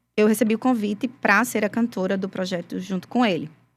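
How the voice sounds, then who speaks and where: Recorded very cleanly with a silent background, a woman speaks in a fairly high pitch with ordinary pitch variation. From Brazil, Rio Grande do Norte interior. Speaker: gospel singer, former forró band singer. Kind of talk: interview testimony.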